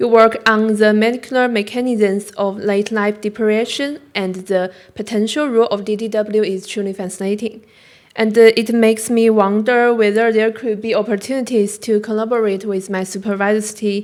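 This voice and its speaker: With a Chinese accent, a woman talks at a moderate pace in a fairly high pitch and a flat, monotone delivery, on a very clean recording with a silent background. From China. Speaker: graduate student. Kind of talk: conference talk. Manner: halting.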